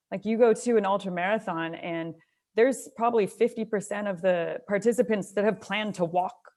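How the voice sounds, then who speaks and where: With a Canadian accent and a normal speaking voice, a woman speaks at a medium pitch with fairly even intonation. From Canada, Alberta (near Calgary). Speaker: trail runner. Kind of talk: casual interview chat.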